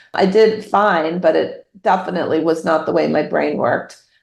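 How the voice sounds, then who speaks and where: A woman talks at a fairly slow pace in a plain, everyday voice. Her pitch is fairly low, with ordinary pitch variation. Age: 50s. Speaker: novelist. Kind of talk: interview.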